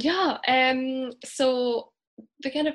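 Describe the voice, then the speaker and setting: A woman speaks with a slight Scottish accent on a very clean recording with a silent background. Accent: mild Scottish. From Scotland, Glasgow. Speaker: English teacher. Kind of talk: casual interview.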